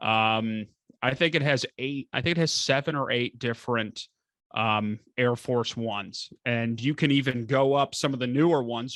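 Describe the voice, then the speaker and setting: Here a man with an American accent speaks at a moderate pace and medium pitch, with ordinary pitch variation, in a dry, close sound with no echo against a quiet background. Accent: none, in his own view. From Northern Kentucky, US. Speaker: estate planning attorney. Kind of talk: podcast interview, casual chat.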